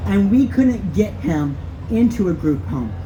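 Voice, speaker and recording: A woman with an American accent at a fairly slow pace, with noticeable background noise and audible room echo. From Texas. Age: 40s. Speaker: activist. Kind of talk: rally speech.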